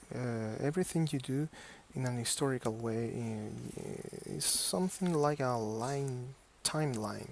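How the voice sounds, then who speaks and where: Using a non-native accent, a man speaks at a fairly slow pace with medium pitch and ordinary pitch variation. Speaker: software tutorial maker. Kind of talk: tutorial. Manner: halting, many fillers and repetitions.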